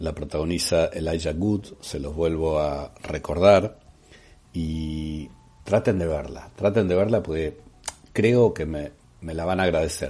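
Fairly even intonation in a man's very deep, low voice. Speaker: podcast host, former radio presenter. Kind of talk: casual monologue, film and series recommendations.

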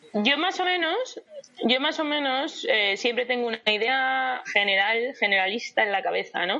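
Against noticeable background noise, a woman with a high pitch talks at a fairly slow pace, her pitch swinging very widely. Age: 30s. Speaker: travelling runner. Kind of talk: interview.

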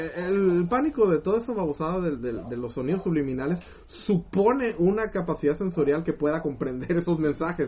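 The speaker talks with hardly any pauses. The voice carries a Mexican accent. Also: moderate pace. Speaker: podcast co-host. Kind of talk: casual chat. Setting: live stream.

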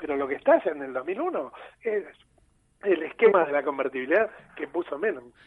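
A man's fairly high voice, an unremarkable speaking voice, at a moderate pace. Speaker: political economy commentator. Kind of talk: explanatory interview.

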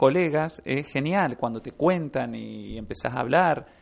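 Music plays in the background as a man speaks at a moderate pace in a fairly high pitch with ordinary pitch variation. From Argentina, Mendoza. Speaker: comic artist and illustrator. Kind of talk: casual interview. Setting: radio studio.

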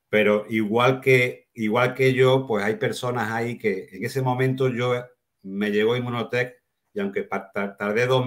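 With music in the background, a man at medium pitch talks at a fairly slow pace. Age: 60s. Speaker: network marketing distributor, former teacher. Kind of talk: casual chat.

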